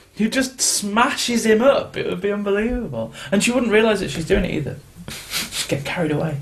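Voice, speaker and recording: A man with a British accent, high in pitch and lively in intonation, at a moderate pace amid noticeable background noise. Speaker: podcast host. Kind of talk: casual chat.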